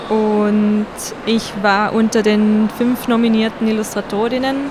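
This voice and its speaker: A woman speaks very slowly with a slight Tyrolean accent and a fairly high pitch. Her intonation is fairly even, and there is noticeable background noise. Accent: slight Tyrolean tinge. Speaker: children's book illustrator. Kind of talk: interview.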